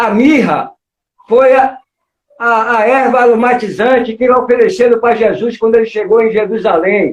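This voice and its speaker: Intonation stays fairly even while the words come at a fairly slow pace. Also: man. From Salvador, Bahia, Brazil. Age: 60s. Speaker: capoeira master. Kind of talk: interview on live stream. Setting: online live stream.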